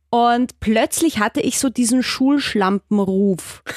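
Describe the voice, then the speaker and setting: On a very clean recording with a silent background and a dry, close sound with no echo, a woman speaks with lively intonation at a fairly high pitch. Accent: slight Austrian. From Austria. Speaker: sex educator and presenter. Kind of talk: interview.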